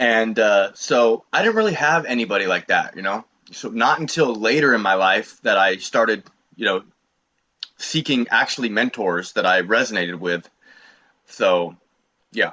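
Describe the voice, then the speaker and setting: A medium-pitched man with an American accent and a bright, sharp tone, at a moderate pace with long, frequent pauses and ordinary pitch variation. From Oregon, US Pacific Northwest. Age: 30s. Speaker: online fitness coach. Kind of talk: interview testimony. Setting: call.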